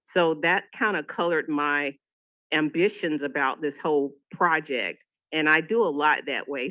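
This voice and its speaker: A woman with a Southern US accent speaks at a very deep, low pitch with ordinary pitch variation. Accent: Southern US (Georgia). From US South, Atlanta, Georgia. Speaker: public health nurse leader. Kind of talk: conference presentation.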